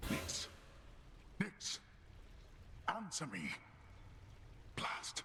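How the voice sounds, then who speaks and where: A man's put-on character voice amid loud background noise. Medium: video game. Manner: stern, formal.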